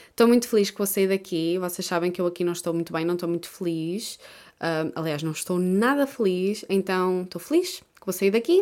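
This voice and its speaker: A woman with a European Portuguese accent at a fairly quick pace, medium pitch with ordinary pitch variation, big swings in loudness, on a very clean recording with a silent background. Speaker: YouTuber and podcaster. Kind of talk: casual solo monologue.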